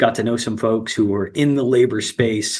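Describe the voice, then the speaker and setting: This man talks in an American accent at a moderate pace. His pitch sits in the medium range, and the background is quiet. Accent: slight New Jersey accent at times. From New Jersey. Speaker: union representative. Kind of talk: interview. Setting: live stream. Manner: hesitant, many fillers.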